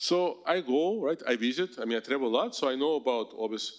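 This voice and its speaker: With a Russian accent and lively intonation, a man of medium pitch speaks in a very clean recording with a silent background. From Russia, Moscow. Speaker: professor. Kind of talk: lecture. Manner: animated.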